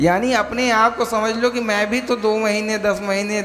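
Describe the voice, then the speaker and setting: Through noticeable background noise, a man with a high pitch speaks with fairly even intonation. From Bihar, India. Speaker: spiritual preacher. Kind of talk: religious discourse.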